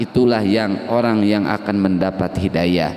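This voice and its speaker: A man talks at a fairly slow pace. He speaks with a West Javanese accent. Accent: Sundanese. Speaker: Quran tafsir teacher. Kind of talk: religious lecture.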